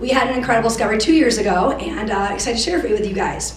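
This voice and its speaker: Amid noticeable background noise and audible room echo, a woman with an American accent speaks at a fairly high pitch with lively intonation. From Michigan. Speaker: biologist and researcher. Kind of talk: conference talk. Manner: loud.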